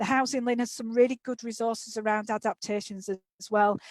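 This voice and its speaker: A woman's fairly high, monotone voice with flat intonation, in a Yorkshire accent, dry and close with no echo. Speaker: occupational therapist and author. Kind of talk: webinar presentation. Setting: online webinar.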